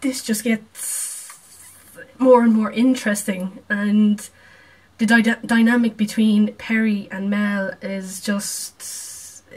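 This woman speaks at a very slow pace. Her fairly high voice stays monotone and flat. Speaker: video reactor. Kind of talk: reaction video, casual chat. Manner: casual, chatty.

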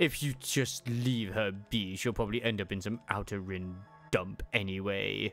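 A man puts on a character voice with a fairly low pitch. He speaks at a moderate pace over faint background music. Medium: virtual streamer. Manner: callous, irritated.

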